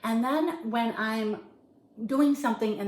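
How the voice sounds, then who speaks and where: Delivered at a fairly slow pace, it is a normal speaking voice with ordinary pitch variation. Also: woman. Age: 60s. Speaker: lifestyle vlogger. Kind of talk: casual vlog talk to camera. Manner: casual with fillers.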